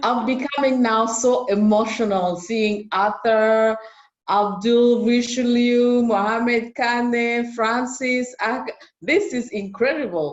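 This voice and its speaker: At a very slow pace, the woman talks in a fairly high pitch. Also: ordinary pitch variation. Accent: French. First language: French. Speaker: youth network alumna, media entrepreneur. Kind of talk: virtual meeting remarks. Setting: video call.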